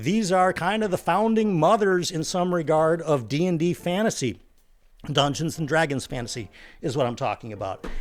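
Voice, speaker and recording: A man speaks at a moderate pace with lively intonation and a fairly high pitch. Music plays in the background. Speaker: book reviewer YouTuber. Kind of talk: casual book review vlog.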